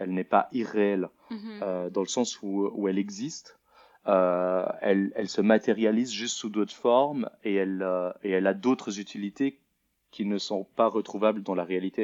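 The speech comes at a moderate pace with fairly even intonation, in a dry, close sound with no echo and a quiet background. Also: man, fairly low pitch for a man. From Switzerland, Lausanne. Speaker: multimedia artist. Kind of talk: interview. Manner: halting.

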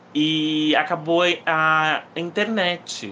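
A man with a fairly high pitch talks over noticeable noise in the background. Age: 20s. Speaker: podcast host, book reviewer. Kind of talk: casual solo podcast, book review. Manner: animated.

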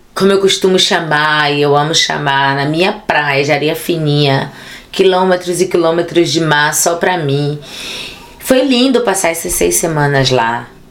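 With audible room echo and noticeable background noise, a woman with a very deep, low pitch speaks at a fairly slow pace and very even loudness. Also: ordinary pitch variation. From Brazil, Bahia (Ilhéus). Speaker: actress, theatre director and activist. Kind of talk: casual interview chat. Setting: studio. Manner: animated.

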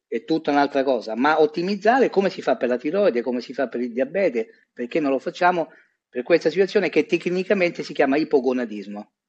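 Here is an unremarkable speaking voice from a man. He talks at a fairly quick pace with lively intonation. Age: 50s. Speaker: urologist. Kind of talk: interview.

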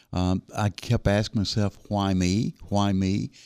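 Heard on a very clean recording against a silent background, the voice has a dark, mellow tone and a Southern US accent. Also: man, dry, close sound with no echo. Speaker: local distinguished citizen and volunteer. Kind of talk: casual radio interview. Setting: studio.

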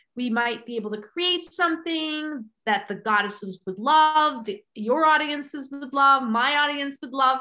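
Her high-pitched, bright, sharp voice is raised and projected, with lively intonation, big swings in loudness, a fairly slow pace and hardly any pauses. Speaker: podcast host. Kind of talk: interview chat. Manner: animated.

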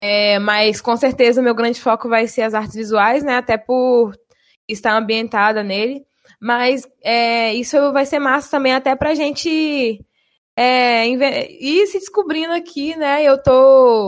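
A woman with a high voice talks very slowly, her pitch rising and falling in an ordinary way. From Bahia, Brazil. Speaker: university radio presenter. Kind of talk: casual chat.

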